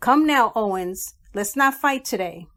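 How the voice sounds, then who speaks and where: In a put-on character voice, a woman talks fairly slowly with a nasal sound and fairly high pitch, on a very clean recording with a silent background. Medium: read story. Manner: mocking, singsong.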